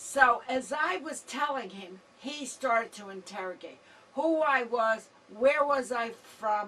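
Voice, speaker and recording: Over noticeable background noise, a woman talks very slowly at a high pitch with lively intonation. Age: 70s. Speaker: senior citizen campaign worker. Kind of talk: testimony.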